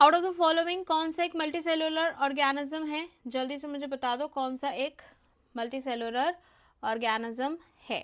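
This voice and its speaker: On a very clean recording with a silent background, a woman speaks in a high voice with ordinary pitch variation. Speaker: online exam-prep teacher. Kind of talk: live class lecture. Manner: Hindi-English code-mixing.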